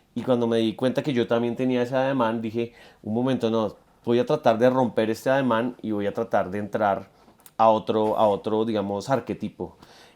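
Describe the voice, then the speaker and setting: Man with a Bogotá accent, medium pitch, fairly even intonation and a fairly quick pace on a very clean recording with a silent background. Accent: Bogotá Colombian Spanish. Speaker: musician. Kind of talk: interview. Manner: halting, many repetitions.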